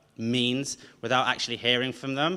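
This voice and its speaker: A man with a slight Brummie accent speaks at a fairly quick pace in a bright, sharp tone. The recording is very clean, with a silent background. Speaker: event host. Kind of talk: event introduction.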